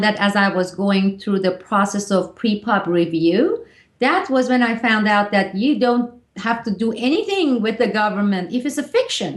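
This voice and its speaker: The woman's intonation is lively and her voice somewhat breathy. She talks at a moderate pace. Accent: Turkish. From Turkey. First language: Turkish. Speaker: author. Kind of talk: interview.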